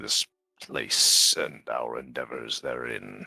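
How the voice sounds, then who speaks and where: Using a put-on character voice, a man speaks very slowly at a very deep, low pitch. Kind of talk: formal, archaic phrasing. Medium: actual play. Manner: measured, polite, deliberate.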